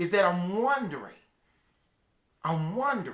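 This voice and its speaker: A man with a Southern US accent and very wide pitch swings. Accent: Southern country. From US South, Mississippi (Calhoun City). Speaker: motivational speaker. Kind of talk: motivational talk. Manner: storytelling, preacher-like.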